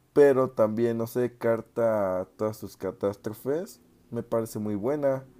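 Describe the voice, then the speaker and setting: A man's medium-pitched voice with a dark, mellow tone, fairly even intonation and a fairly slow pace. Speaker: music podcaster. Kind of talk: casual monologue.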